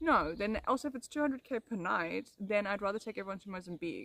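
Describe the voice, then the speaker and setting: With a South African accent, a woman talks at a very fast pace in a dry, close sound with no echo. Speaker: ASMR streamer. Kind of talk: casual chat. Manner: animated.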